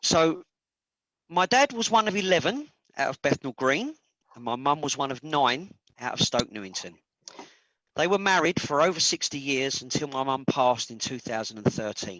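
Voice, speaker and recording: At a moderate pace, a man with a fairly high pitch and a bright, sharp tone swings very widely in pitch, the sound dry and close with no echo. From London, East End (Hackney). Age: 50s. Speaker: charity representative. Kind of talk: presentation.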